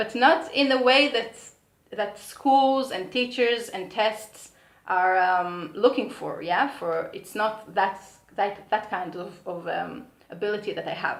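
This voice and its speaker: Someone with a slight American accent speaks at a very slow pace with ordinary pitch variation. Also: woman, fairly high pitch for a woman. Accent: slight American accent in non-native English. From Israel. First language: Hebrew. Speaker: vlogger. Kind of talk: personal vlog monologue. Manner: halting, many hesitations and restarts.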